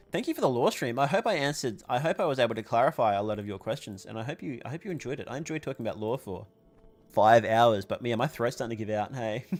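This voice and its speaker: Music plays in the background as a man talks at a very fast pace. His medium pitch shows ordinary variation. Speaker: vtuber streamer. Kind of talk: casual chat. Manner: slurring words.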